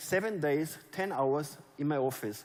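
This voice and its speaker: A man speaks with a German accent. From Germany. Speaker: network marketing leader. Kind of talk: motivational speech. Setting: stage with audience.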